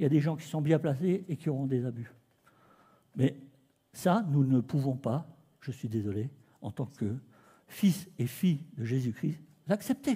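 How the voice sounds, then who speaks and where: With a dark, mellow tone and a somewhat breathy quality, the speaker moves at a fairly slow pace with lively intonation and long, frequent pauses. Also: man, fairly high pitch for a man. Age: 60s. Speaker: preacher. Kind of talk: sermon. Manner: animated.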